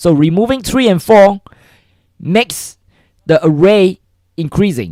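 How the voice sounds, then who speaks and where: With a non-native accent, a man speaks at a fairly slow pace. His pitch is high and his intonation lively. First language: not English. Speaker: coding livestreamer. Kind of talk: livestream tutorial. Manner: halting, many repetitions and fillers.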